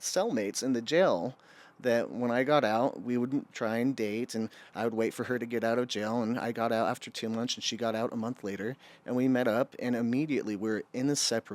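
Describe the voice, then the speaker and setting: An unremarkable speaking voice with an American accent, at a moderate pace with fairly even intonation, on a very clean recording with a silent background. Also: man. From Utah. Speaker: addiction recovery worker. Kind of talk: podcast interview testimony.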